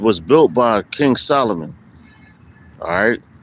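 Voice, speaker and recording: Noticeable background noise sits under a man's voice. He talks at a fairly slow pace with very wide pitch swings. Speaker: street preacher. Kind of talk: religious teaching. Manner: halting.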